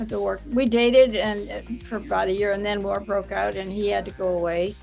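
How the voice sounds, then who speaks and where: A woman's fairly quick speech plays out with music in the background. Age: 80s+. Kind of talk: interview answer. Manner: casual, reminiscing.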